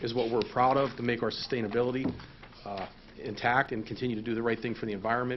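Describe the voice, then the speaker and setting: Speaking very fast at a medium pitch, a man is heard with audible room echo. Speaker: waste company representative. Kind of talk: presentation at council meeting. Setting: council meeting room.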